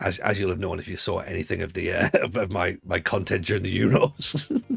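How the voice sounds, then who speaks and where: A man speaks in a northeast English accent. His pace is fairly quick. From northeast England, Sunderland. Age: 40s. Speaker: football game streamer. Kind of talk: casual live-stream chat. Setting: live stream.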